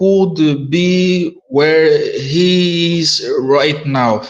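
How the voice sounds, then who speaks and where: A man with a non-native accent speaks at a high pitch with ordinary pitch variation. He goes at a very slow pace, and room echo is audible. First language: not English. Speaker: audio space participant. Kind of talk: casual group discussion. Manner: halting.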